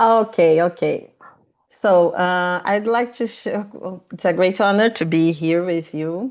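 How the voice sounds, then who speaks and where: Over a quiet background, a woman with a Portuguese accent speaks at a fairly slow pace, her medium pitch varying in an ordinary way. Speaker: panelist, women's institute representative. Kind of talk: panel presentation. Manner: reading from notes.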